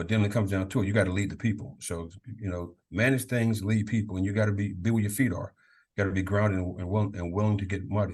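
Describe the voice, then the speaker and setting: Against a quiet background, a man with an American accent talks very fast in a fairly low, somewhat breathy voice with fairly even intonation. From Maryland, Prince George's County. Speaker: college football leadership coach, former Marine. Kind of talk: podcast interview.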